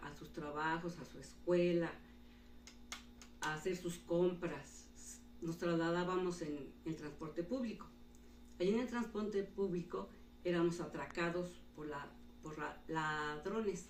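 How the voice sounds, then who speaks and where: Speaking at a fairly slow pace with long, frequent pauses, a woman with a fairly low pitch and ordinary pitch variation shows big swings in loudness amid audible room echo. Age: 60s. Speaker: retired teacher. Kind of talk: interview.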